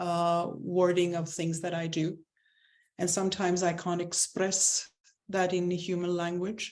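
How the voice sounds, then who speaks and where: A woman with a non-native accent speaks at a fairly slow pace in a fairly low voice, her intonation fairly even. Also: quiet background. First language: not English. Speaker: spiritual coach. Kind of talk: interview.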